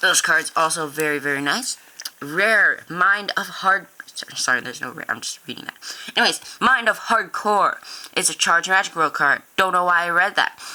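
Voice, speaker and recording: Big swings in loudness mark a woman's speech at a moderate pace. Noticeable background noise is present. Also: medium pitch for a woman, lively intonation. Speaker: card game youtuber. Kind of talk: deck showcase tutorial. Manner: halting.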